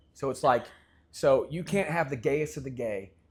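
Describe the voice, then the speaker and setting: With a slight Southern US accent, a man talks at a fairly slow pace in a somewhat breathy, medium-pitched voice with ordinary pitch variation. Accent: slight Southern twang. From US South, Memphis, Tennessee. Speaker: podcast host. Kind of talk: casual interview conversation.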